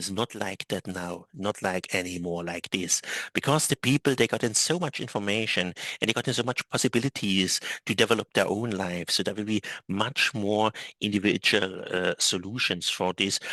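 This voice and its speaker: A man's fairly low, bright, sharp voice at a moderate pace, in a dry, close sound with no echo and a quiet background. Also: ordinary pitch variation. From Germany. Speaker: travel agent and author. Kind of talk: interview conversation. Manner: halting, many fillers and repetitions.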